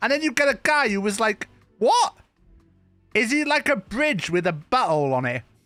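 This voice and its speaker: Over music in the background, a man in a raised, projected voice talks at a moderate pace with very wide pitch swings. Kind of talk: casual streamer talk to camera. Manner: casual, conversational.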